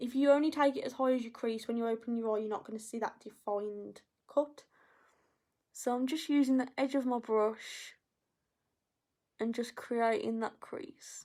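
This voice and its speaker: A dark, mellow tone with an English accent, a moderate pace and long, frequent pauses, on a very clean recording with a silent background. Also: woman, high pitch for a woman. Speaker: makeup artist. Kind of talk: tutorial. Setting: live video stream. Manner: a little quiet while concentrating.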